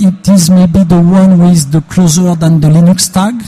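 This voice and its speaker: Amid noticeable background noise, a man with a French accent speaks fairly slowly at a high pitch. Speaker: open source industry federation president. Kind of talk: interview. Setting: trade fair booth. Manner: halting.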